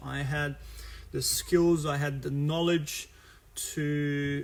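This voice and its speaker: A man talks with a Brazilian Portuguese accent. There is audible room echo. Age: 30s. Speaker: futsal coach. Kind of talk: live stream talk about his career. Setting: live stream video. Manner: halting, many fillers.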